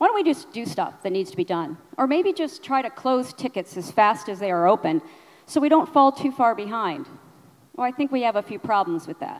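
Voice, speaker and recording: A woman's high voice at a fairly quick pace, with very wide pitch swings and big swings in loudness, over a quiet background. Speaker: conference speaker. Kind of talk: conference talk. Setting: stage with audience. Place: hall. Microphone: handheld.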